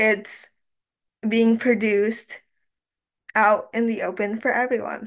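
Against a quiet background, a woman with a Canadian accent speaks fairly slowly at a fairly high pitch. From Canadian Prairies. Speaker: university student and youth researcher; panelist. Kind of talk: research presentation. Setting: online webinar, video call. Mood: reflective, earnest. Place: home room. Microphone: webcam.

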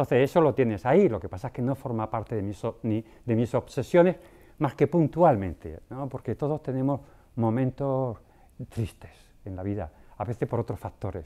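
A man's medium-pitched voice with a dark, mellow tone, lively intonation and a moderate pace. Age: 60s. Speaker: prostate cancer patient and physician. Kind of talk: panel discussion, personal testimony; interview answer. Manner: conversational, frequent tag questions. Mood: calm, reflective. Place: studio. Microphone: lapel.

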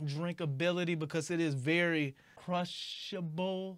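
Here a man speaks at a high pitch. The background is quiet. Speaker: beer reviewer. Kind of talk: casual review commentary. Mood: blunt, unimpressed. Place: home room. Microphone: lapel.

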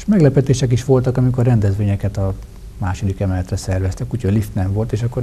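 A man with a fairly low pitch, a very fast pace and fairly even intonation over light background noise. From Hungary, Tolna county (Tamási); Hungary. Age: 40s. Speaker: member of parliament; guest. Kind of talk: TV interview. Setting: studio. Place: studio. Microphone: lapel.

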